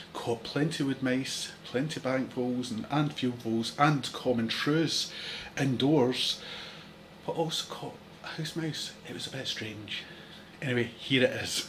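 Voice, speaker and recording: At a fairly slow pace, a man with a medium pitch speaks against noticeable background noise. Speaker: ecologist and wildlife educator. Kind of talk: informal educational talk. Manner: hesitant, many fillers.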